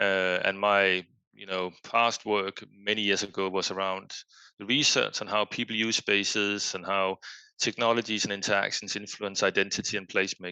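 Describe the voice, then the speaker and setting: A man with a Danish accent speaks at a moderate pace in a fairly low, bright and sharp voice with fairly even intonation. The sound is dry and close with no echo, and the background is quiet. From Denmark. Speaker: foundation executive and researcher. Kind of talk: podcast interview. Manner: hesitant, many fillers.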